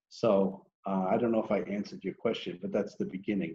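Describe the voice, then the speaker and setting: A man speaks in a fairly low pitch with a dark, mellow tone and fairly even intonation. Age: 60s. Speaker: entrepreneur. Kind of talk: interview. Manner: hesitant, many fillers.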